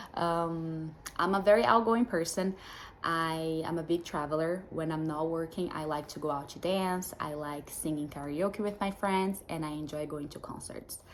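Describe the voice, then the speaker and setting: In a Brazilian Portuguese accent, a woman speaks at a moderate pace with a fairly low pitch. Her intonation is fairly even, while her loudness swings widely. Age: 20s. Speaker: dating show contestant. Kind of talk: prepared self-introduction.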